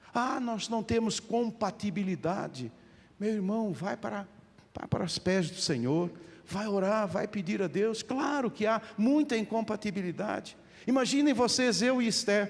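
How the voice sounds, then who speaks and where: A man with a high voice talks at a fairly slow pace, his pitch varying in an ordinary way. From Portugal. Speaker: pastor. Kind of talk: sermon. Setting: church.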